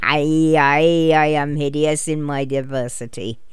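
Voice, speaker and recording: In a put-on character voice at low-to-middle pitch, the speaker cackles at a fairly slow pace. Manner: cackling, drooling.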